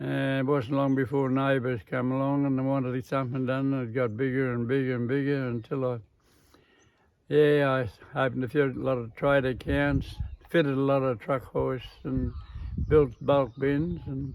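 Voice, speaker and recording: A man talks with an Australian accent. His pace is moderate and his intonation fairly even. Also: medium pitch for a man. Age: 80s+. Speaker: farmer and engineer. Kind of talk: interview answer.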